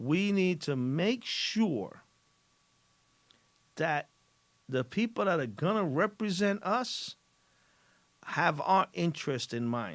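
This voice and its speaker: In a very clean recording with a silent background, a high-pitched man speaks very slowly with long, frequent pauses, his pitch swinging very widely. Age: 60s. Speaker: radio show host. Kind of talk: opinion monologue on radio show. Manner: animated.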